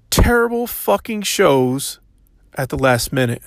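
With an unremarkable speaking voice, a man talks at a fairly high pitch with lively intonation in a very clean recording with a silent background. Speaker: wrestling commentator. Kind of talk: angry rant about wrestling show. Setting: sitting outdoors in a public area.

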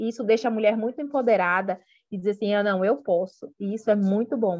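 A woman with a fairly high pitch and an unremarkable speaking voice, against a quiet background. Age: 40s. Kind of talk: interview. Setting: remote call.

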